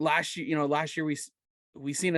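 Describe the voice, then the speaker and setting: Against a quiet background, a man with an ordinary speaking voice talks at a moderate pace with fairly even intonation. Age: 20s. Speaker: podcast host. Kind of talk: casual chat.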